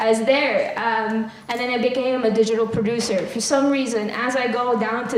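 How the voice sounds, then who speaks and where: Through noticeable background noise and audible room echo, a woman speaks at a fairly high pitch with monotone, flat intonation. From Philippines. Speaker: marketing agency content lead. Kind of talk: workshop presentation. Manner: casual, hesitant with fillers.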